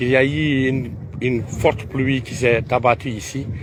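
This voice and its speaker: Noticeable background noise can be heard. The delivery is fairly slow. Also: man. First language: Pular (Fula) (speaking French). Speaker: Islamic preacher. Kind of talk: guided tour talk on pilgrimage. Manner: halting, many hesitations.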